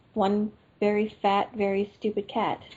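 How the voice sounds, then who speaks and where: Very slow, somewhat breathy speech from a woman. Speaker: podcast co-host. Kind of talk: casual chat.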